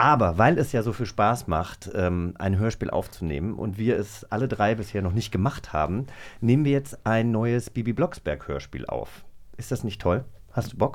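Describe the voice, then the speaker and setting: Using lively intonation and vocal fry, a man speaks at a moderate pace and fairly low pitch in a very clean recording with a silent background. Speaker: podcast co-host. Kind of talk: casual chat. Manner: animated.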